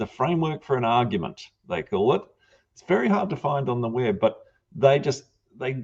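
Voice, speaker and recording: A man with a New Zealand accent speaks at a medium pitch and a moderate pace, with lively intonation and a somewhat breathy sound. His loudness swings widely, and he takes long, frequent pauses. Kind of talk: panel discussion.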